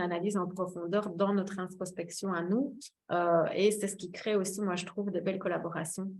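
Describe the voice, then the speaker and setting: A woman talks at a moderate pace with fairly even intonation. Her pitch sits in the middle range. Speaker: wellbeing therapist giving a talk. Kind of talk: webinar presentation. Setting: online webinar. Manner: hesitant, many fillers.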